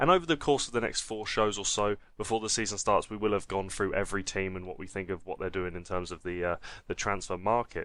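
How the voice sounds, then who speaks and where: With a strong Essex accent, a man rattles along at a very fast pace. His pitch is fairly low with ordinary variation, over a quiet background. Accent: Essex, stronger than usual. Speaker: football podcast host. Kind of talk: casual chat.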